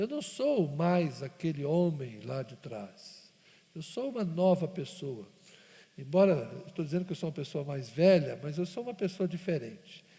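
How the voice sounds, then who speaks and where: A man with a high pitch speaks with lively intonation and big swings in loudness. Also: moderate pace. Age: 50s. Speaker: pastor. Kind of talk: sermon.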